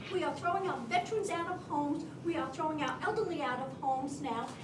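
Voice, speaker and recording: A woman talking at a very fast pace, with ordinary pitch variation and audible room echo. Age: 70s. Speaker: audience member at a town hall. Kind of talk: public comment at a town hall. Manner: impassioned.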